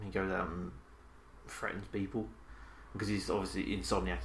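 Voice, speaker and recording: With vocal fry and lively intonation, a man talks at a very deep, low pitch. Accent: British. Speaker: podcast co-host. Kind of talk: casual banter about movies. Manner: joking, animated.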